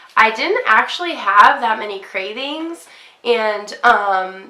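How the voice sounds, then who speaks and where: Audible room echo surrounds a woman speaking fairly slowly at a fairly high pitch. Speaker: fitness vlogger. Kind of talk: casual vlog.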